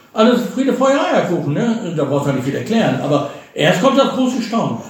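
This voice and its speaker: Over noticeable background noise and audible room echo, a man speaks at a high pitch with very wide pitch swings. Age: 60s. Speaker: retiree, father of a host. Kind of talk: casual chat. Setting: visiting hosts in Bulgaria.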